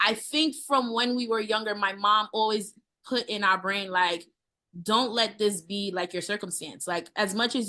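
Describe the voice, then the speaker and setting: In a New York accent, a woman speaks at a medium pitch with a bright, sharp tone. The background stays quiet. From US, Brooklyn, New York. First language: Haitian Creole. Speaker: chef. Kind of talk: interview.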